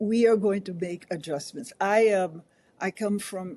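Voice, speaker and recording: Her tone is dark and mellow. The woman talks at a moderate pace. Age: 80s+. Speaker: change management consultant. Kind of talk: interview conversation.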